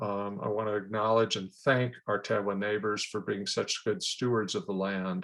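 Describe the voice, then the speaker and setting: A man speaks in a monotone, with flat intonation. The background is quiet. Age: 70s. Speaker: radio talk show host. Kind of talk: show introduction monologue. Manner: halting, with many fillers.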